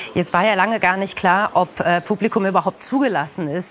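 A woman is talking at a fairly quick pace. Light background noise can be heard. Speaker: news presenter. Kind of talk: studio interview. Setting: studio with video link guest. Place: studio.

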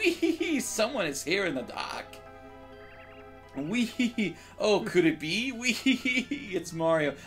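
A man's put-on character voice, high-pitched and cackling, with very wide pitch swings, a fairly slow pace, long, frequent pauses and clear music in the background

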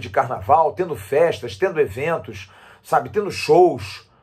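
Against a quiet background, a man with vocal fry speaks at a fairly slow pace, his pitch swinging very widely. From Brazil. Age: 50s. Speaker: sports commentator. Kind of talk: opinion monologue. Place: home room. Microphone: phone near.

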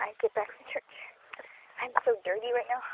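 A woman whispers at a moderate pace. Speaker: vlogger. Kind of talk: casual outdoor vlog narration. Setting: outdoors. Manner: whispered, quiet. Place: forest. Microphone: phone near.

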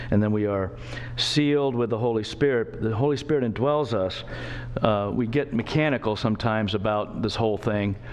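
The speaker moves at a fairly quick pace with ordinary pitch variation. Loudness stays very even throughout. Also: man. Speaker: preacher or Bible teacher. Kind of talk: sermon. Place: church. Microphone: podium.

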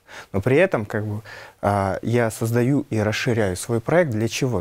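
This speaker has a Nenets accent and ordinary pitch variation. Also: man. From Yamal tundra, northern Russia; Russia. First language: Nenets (speaking Russian). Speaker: Nenets epic performer and culture keeper; guest. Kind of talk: studio interview. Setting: TV studio. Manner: hesitant, many fillers. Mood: calm, thoughtful. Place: studio.

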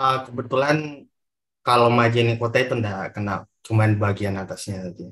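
A man's moderately paced speech, with ordinary pitch variation, comes over a quiet background. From Indonesia, West Sulawesi. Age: 20s. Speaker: moderator. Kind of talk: moderating online talk. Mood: friendly, earnest closing remarks. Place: home room. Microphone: video call.

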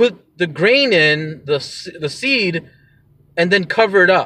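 There is no echo around the man's voice, which sounds dry. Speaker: podcast host vlogger. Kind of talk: casual vlog chat. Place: car. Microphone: phone near.

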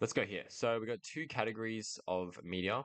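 Quiet surroundings behind a male speaker with ordinary pitch variation. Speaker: lecturer. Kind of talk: lecture. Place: home room. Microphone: studio mic.

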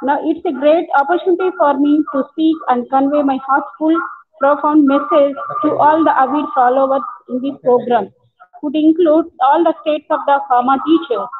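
Fairly even intonation runs at a moderate pace over light background noise. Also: woman, high pitch for a woman. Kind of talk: formal welcome speech. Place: office. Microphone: earbuds.

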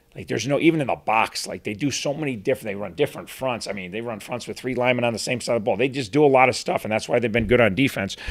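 Few pauses break up a man's very fast pace. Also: medium pitch for a man, ordinary pitch variation.

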